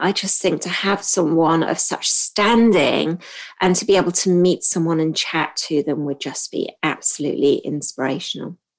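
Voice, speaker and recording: A woman speaks with a British accent at a fairly slow pace. Her pitch is fairly low and varies in an ordinary way. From Hong Kong. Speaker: podcast host and trainer for admin professionals. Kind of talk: solo podcast monologue. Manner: frequent filler um.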